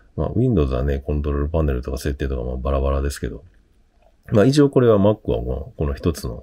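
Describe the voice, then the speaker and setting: A man's very deep, low voice, somewhat breathy and dark and mellow in tone, with lively intonation at a fairly quick pace. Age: 50s. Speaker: tech YouTuber. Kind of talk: tutorial. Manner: casual, hesitant with fillers.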